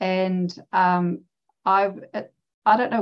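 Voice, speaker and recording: A woman with a New Zealand accent speaks in a fairly low pitch. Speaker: abstract artist and former teacher. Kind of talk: interview conversation. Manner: halting, with many fillers.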